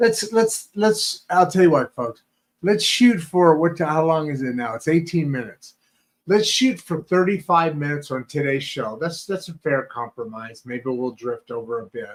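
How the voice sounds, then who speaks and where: At a moderate pace, a man with a fairly high pitch makes very wide pitch swings. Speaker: oral care company founder. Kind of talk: live Q&A show. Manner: halting, repetitive.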